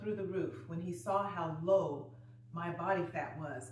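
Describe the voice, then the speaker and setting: A woman's fairly low voice at a fairly slow pace, with noticeable background noise and audible room echo. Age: 60s. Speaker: fitness coach. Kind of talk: exercise follow-along video chat. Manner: animated.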